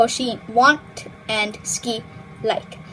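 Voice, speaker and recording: A woman speaks over noticeable background noise. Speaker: language tutorial youtuber. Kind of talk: tutorial. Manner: casual, filler-heavy.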